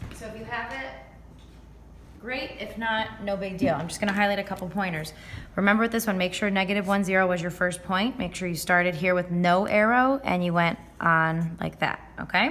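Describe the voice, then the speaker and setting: Amid noticeable background noise, a woman of medium pitch talks at a fairly quick pace with ordinary pitch variation. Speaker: math teacher. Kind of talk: tutorial. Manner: fast.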